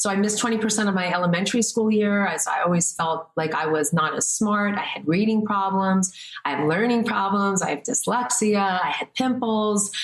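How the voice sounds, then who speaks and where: Fairly quick, medium-pitched female speech over noticeable background noise. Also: ordinary pitch variation, hardly any pauses. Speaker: health and wellness coach. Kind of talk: interview. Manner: animated.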